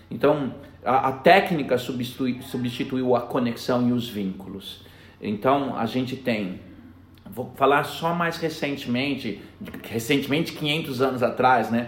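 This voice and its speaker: A medium-pitched male voice at a fairly slow pace with ordinary pitch variation, amid noticeable background noise and audible room echo. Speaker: education director. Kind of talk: interview.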